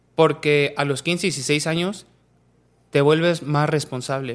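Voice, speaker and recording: A man speaks with a central Mexican accent at a fairly high pitch and fairly even intonation. The recording is very clean, with a silent background. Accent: central Mexican, taken for Mexico City. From Mexico, Pachuca (Hidalgo). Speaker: professional footballer. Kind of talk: casual interview.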